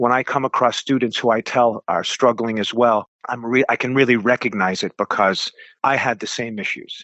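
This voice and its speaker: A man speaks at a medium pitch and a moderate pace. His intonation stays fairly even. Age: 60s. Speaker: martial arts instructor. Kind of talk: interview. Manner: halting.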